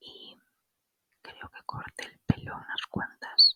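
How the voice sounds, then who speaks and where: A woman whispers at a very slow pace in a relaxed tone. The sound is dry and close, with no echo. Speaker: ASMR creator and spiritual wellness channel host. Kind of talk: ASMR whispered anecdotes. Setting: home recording with microphone. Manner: whispered, soft, relaxed.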